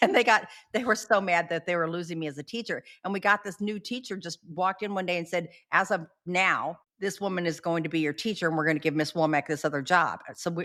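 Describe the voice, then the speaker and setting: Her tone bright and sharp, a woman speaks at a fairly quick pace with a fairly low pitch. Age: 60s. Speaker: podcast co-host, former inmate and entrepreneur. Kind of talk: casual interview chat. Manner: animated; not quiet.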